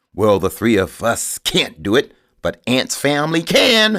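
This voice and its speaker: This is a man doing a put-on character voice. His pitch is fairly high. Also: fairly slow pace. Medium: read story. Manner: bold, bragging.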